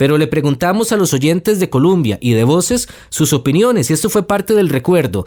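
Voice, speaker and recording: His delivery moves along fairly quickly. The man's pitch rises and falls over a very wide range. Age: young. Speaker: podcast host. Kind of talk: news podcast narration.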